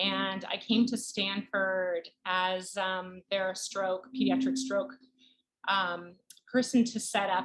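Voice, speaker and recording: Speaking at a very slow pace, a woman uses a medium pitch. Her pitch variation is ordinary. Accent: slight Canadian. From Canada. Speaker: pediatric neurologist. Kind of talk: interview.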